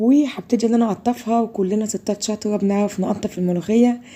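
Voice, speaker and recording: A woman's somewhat breathy, fairly high voice in an Egyptian accent, at a fairly quick pace with fairly even intonation. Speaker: cooking video host. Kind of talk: cooking tutorial.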